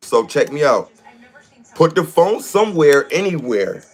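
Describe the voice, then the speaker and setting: A man talks at an even, middling speed while clear background noise carries on behind him. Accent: American. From US Northeast, Rochester New York. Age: 40s. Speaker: livestreamer. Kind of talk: casual livestream talk.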